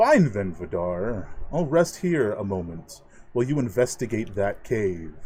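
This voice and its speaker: A booming put-on character voice from a man, medium in pitch with very wide pitch swings, at a moderate pace. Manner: commanding, weary but forceful.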